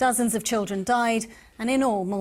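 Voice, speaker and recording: A woman's voice, an ordinary speaking voice, with fairly high pitch, fairly even intonation and a moderate pace. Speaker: TV news presenter. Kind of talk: TV news introduction.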